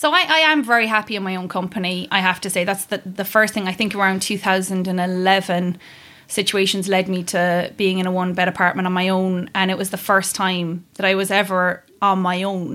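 A woman with a Kerry accent speaks at a medium pitch in a bright, sharp tone, fairly quickly and with hardly any pauses. Her intonation stays fairly even, and the very clean recording has a silent background. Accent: Kerry Irish. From Ireland, County Kerry. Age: 30s. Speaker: podcast guest. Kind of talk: casual chat.

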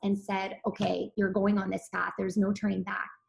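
A somewhat breathy voice at a moderate pace. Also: woman. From Serbia. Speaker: physician. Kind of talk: interview.

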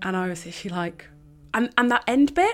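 Speaking in a London accent, a woman with a fairly high pitch talks at a fairly quick pace with lively intonation. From North London. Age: 20s. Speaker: self-discovery coach. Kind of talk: casual chat. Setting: remote recording with headphones and mic.

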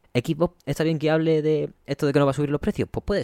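A man at a very fast pace, dry, close sound with no echo, on a very clean recording with a silent background. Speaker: video game podcast host. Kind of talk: solo podcast commentary.

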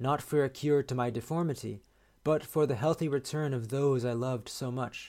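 Fairly even intonation in a natural reading voice

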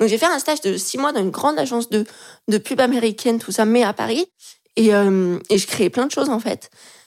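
In a plain, everyday voice, a woman speaks at a fairly quick pace with a fairly high pitch and lively intonation, on a very clean recording with a silent background. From France, Lyon. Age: 20s. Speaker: illustrator and graphic designer. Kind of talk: casual interview chat.

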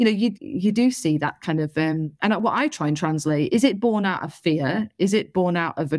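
A woman with a Northwest English accent and ordinary pitch variation, the sound dry and close with no echo on a very clean recording with a silent background. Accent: North West England. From northern England, Salford. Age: 30s. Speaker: local councillor. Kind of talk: interview. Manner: animated.

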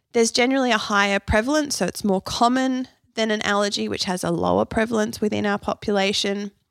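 In an Australian accent, a woman speaks at a very fast pace with a fairly high pitch and ordinary pitch variation, in a dry, close sound with no echo on a very clean recording with a silent background. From Australia (Canberra). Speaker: nutritionist and podcast host. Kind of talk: solo educational podcast.

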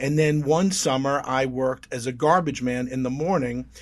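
Over a quiet background, a man with an American accent talks in a plain, everyday voice, fairly high in pitch with fairly even intonation. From Long Island, New York. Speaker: motivational speaker. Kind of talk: interview.

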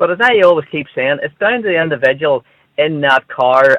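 A man with a Northern Irish accent speaks at a fairly high pitch. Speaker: road safety commentator. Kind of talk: radio phone-in discussion.

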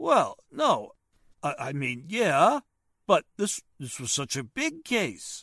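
In a very clean recording with a silent background, a man puts on a character voice at a fairly high pitch, with a fairly bright tone, a slow pace and very wide pitch swings. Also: dry, close sound with no echo.

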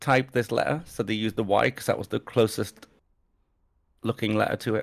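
Vocal fry marks a voice with an English accent, the sound dry and close with no echo. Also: man. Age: 30s. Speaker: podcast co-host. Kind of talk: casual chat.

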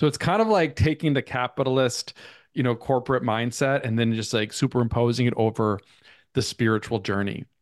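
Against a quiet background, a man with an American accent uses an ordinary speaking voice at a medium pitch, a fairly quick pace and ordinary pitch variation. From US Midwest, Minnesota. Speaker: author and artist. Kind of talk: interview.

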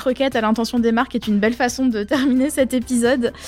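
Talking at a very fast pace, a woman uses a high voice with fairly even intonation. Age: 30s. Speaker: podcast co-host. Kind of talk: casual chat.

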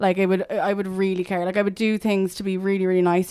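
Talking at a very fast pace, a woman has an Irish accent. Her voice is medium in pitch. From Ireland, Dublin and Limerick. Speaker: media founder and showbiz journalist. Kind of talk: casual chat.

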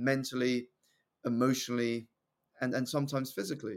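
Moderate pace and medium pitch from a man with a southern English accent, on a very clean recording with a silent background. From southeast England. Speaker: personal development coach and public speaker. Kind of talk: podcast interview.

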